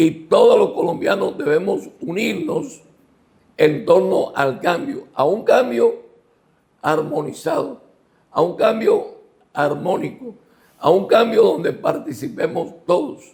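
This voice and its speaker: Leaving long, frequent pauses, this man's speech crawls along very slowly. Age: 70s. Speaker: former mayor and lawyer. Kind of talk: interview. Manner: emphatic, rhetorical.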